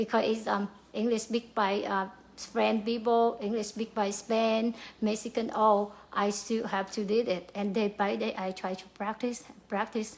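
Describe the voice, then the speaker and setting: In a Vietnamese accent, a woman speaks at a fairly slow pace with a fairly high pitch and monotone, flat intonation. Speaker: pharmacy worker. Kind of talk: motivational talk. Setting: livestream to camera. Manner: halting, many fillers.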